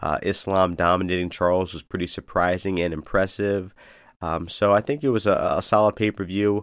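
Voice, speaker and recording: Speaking at a fairly quick pace with fairly even intonation, a man with a very deep, low pitch comes through in a very clean recording with a silent background. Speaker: MMA podcast host. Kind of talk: casual podcast commentary. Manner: hesitant with many fillers.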